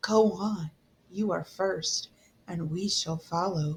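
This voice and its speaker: Putting on a character voice, a woman speaks at medium pitch and a fairly slow pace. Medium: read story. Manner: seductive, gloating, mocking.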